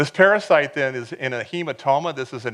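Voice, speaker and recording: Against a quiet background, a man talks at a very fast pace with a bright, sharp tone. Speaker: professor. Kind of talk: lecture.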